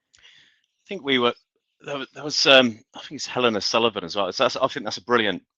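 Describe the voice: A man speaks at a fairly quick pace. His tone is bright and sharp, with a dry, close sound and no echo. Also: medium pitch for a man, ordinary pitch variation.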